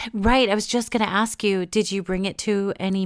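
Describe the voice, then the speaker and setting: This woman's medium-pitched voice stays monotone, with flat intonation throughout. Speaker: podcast host. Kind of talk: interview conversation.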